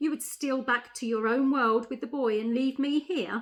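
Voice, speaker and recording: A woman with a high pitch uses a put-on character voice, raised and projected, at a moderate pace. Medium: read story. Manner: commanding.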